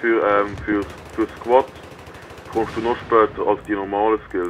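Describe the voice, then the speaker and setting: A man speaks at a fairly slow pace with a Swiss accent. Noticeable background noise runs underneath. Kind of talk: live gameplay commentary.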